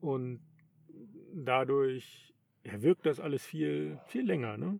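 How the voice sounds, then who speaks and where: Speaking very slowly with long, frequent pauses, a man uses a medium pitch that swings very widely. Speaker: podcast host, long-distance cyclist. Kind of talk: casual chat. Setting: in a tent.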